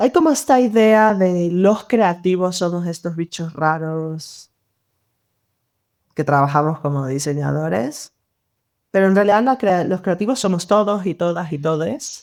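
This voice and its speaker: A woman speaks at a fairly slow pace, her pitch fairly low and her intonation lively, in an unremarkable speaking voice. The recording is very clean with a silent background. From Venezuela, Mérida. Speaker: designer. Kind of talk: podcast interview.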